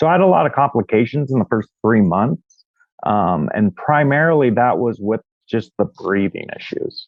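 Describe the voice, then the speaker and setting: At a moderate pace, a man speaks at a medium pitch, his voice making very wide pitch swings. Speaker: real estate agent. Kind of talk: interview. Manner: halting.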